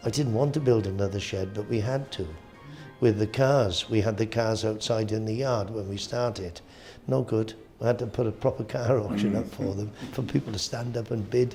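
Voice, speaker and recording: A man speaks in a Welsh accent at a moderate pace, his pitch medium with ordinary variation. Music plays in the background. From Wales. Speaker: auctioneer. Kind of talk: interview answer. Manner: casual, hesitant.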